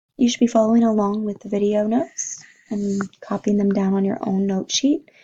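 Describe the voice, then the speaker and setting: This woman has a fairly high pitch, a dark, mellow tone and a somewhat breathy sound. She talks at a fairly quick pace with ordinary pitch variation. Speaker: math teacher. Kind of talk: tutorial.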